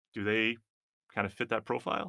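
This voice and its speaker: The man speaks at a fairly quick pace. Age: 40s. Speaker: cybersecurity executive and former army IT specialist. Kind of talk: interview.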